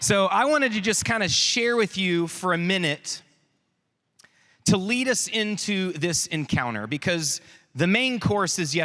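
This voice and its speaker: Speaking with a Texas accent, a man with high pitch takes a fairly slow pace in an animated tone. His bright, sharp voice makes very wide pitch swings. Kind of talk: youth conference talk. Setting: stage with audience.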